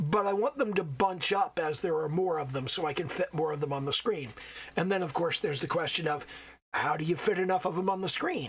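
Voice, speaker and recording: A man with a high pitch, ordinary pitch variation, and a fairly quick pace. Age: old. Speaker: solo game developer. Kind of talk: casual talk to camera.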